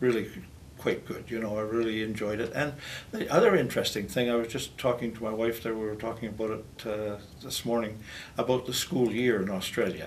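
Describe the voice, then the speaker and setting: A man's medium-pitched voice with a Canadian accent, fairly even intonation and a fairly quick pace, plus audible room echo. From northwestern Ontario, Canada. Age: 70s. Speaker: retired teacher. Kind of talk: interview. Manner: hesitant, many fillers.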